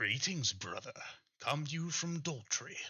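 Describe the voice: A man's put-on character voice, high in pitch, at a fairly slow pace.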